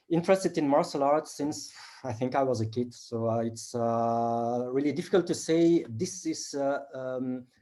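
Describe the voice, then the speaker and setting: At a moderate pace and with hardly any pauses, a man speaks at a medium pitch in a dark, mellow tone with ordinary pitch variation. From Belgium (Flanders), born in South Korea, adopted at four. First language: Flemish (Dutch). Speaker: martial artist and action film actor. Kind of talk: interview. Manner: halting, many fillers.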